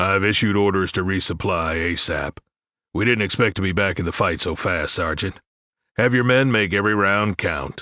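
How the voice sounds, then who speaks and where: In a put-on character voice, a man speaks at a moderate pace and a fairly low pitch. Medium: read story.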